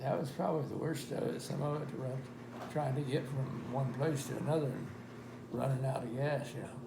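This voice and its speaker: The speech runs at a fairly quick pace with fairly even intonation over noticeable background noise. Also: man, medium pitch for a man. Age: 80s+. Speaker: war veteran. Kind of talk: interview answer.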